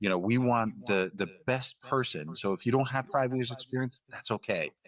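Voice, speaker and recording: With an American accent, a man speaks at a moderate pace in a medium pitch, using lively intonation in a dry, close sound with no echo. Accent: Northeast US accent, faint in everyday talk. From US Northeast. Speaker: podcast host. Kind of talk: interview conversation. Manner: halting, many fillers and repeats.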